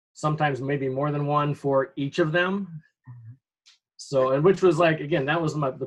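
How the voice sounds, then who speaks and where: A man with an American accent speaks at a fairly high pitch and a moderate pace. His voice is somewhat breathy, with fairly even intonation. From Upper Peninsula of Michigan. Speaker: high school teacher. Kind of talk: interview. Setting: video call.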